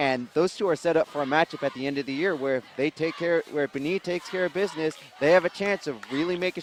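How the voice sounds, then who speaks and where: A man talks at a very fast pace with hardly any pauses and ordinary pitch variation. The sound is dry and close with no echo, though noticeable background noise comes through. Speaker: sports announcer. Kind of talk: football color commentary.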